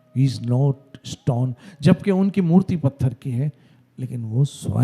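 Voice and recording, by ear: Lively intonation marks this passage read aloud in a natural voice.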